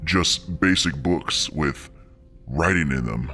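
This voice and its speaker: Over clear music in the background, a man uses a put-on character voice at a very slow pace. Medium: read story. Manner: curt, commanding.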